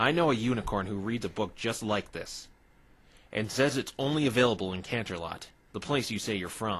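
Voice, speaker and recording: A man's cartoonish character voice at medium pitch and a fairly quick pace. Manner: earnest, assertive.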